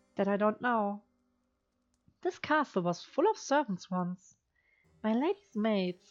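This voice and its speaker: Music plays behind a woman whose fairly high voice has lively intonation and very even loudness. She speaks fairly slowly with long, frequent pauses, and the sound is dry and close with no echo. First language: not English. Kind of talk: reading a text adventure game aloud. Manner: practiced feminine voice.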